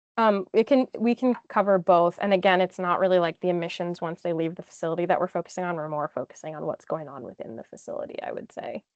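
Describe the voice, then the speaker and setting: Racing at a very fast pace with hardly any pauses, a woman speaks with ordinary pitch variation and big swings in loudness. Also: medium pitch for a woman. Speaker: engineer, webinar guest speaker. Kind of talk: webinar Q&A.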